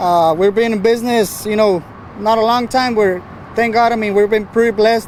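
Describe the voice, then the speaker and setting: An American-accented man speaks at a moderate pace and a high pitch. His intonation is fairly even, and there is noticeable background noise. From Texas, San Antonio. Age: 20s. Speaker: truck painter and builder. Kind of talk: casual interview. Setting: outdoors at a truck show. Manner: halting, many fillers.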